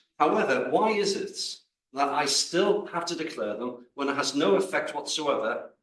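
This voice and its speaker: Audible room echo carries a man's fairly high-pitched voice with lively intonation. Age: 60s. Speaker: audience member asking a question. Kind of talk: audience question at a lecture. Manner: halting.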